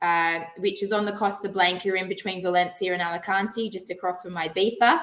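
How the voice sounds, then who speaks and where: A woman with an Australian accent talks at a fairly quick pace in a medium pitch with monotone, flat intonation. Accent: Australian, twangy. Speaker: financial planner. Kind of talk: webinar presentation.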